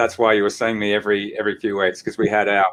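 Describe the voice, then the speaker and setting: A man with an Australian accent. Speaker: chiropractor and practice coach. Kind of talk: interview.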